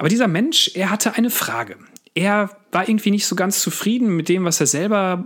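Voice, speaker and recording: This is a man talking. He speaks at a fairly quick pace. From Westphalia, Sauerland. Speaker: pastor. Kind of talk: devotional podcast talk.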